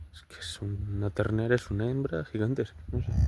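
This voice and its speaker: Here a man speaks at a fairly low pitch and moderate pace. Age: 20s. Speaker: cattle farmer. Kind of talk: casual talk to camera. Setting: outdoors.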